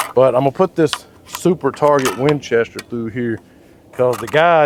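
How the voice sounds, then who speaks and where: Noticeable background noise sits under the voice. The pace stays moderate. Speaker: gun reviewer. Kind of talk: casual firearm review talk.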